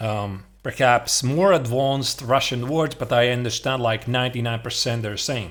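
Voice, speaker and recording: This man speaks with a Latvian accent. His pitch is medium. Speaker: chess streamer. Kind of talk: casual reaction stream commentary. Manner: hesitant, many fillers.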